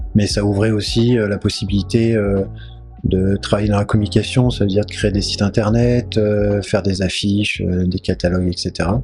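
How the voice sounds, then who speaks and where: Music plays in the background as a man talks at a moderate pace. His pitch is fairly low, and his intonation is fairly even. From Charente, western France. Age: 40s. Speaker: entrepreneur, retail business owner. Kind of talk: interview. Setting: at his home. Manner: hesitant, many fillers. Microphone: crackling mic early in recording.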